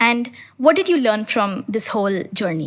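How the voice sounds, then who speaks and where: With noticeable background noise around her, a woman talks at a fairly high pitch. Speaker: podcast host. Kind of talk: interview questions.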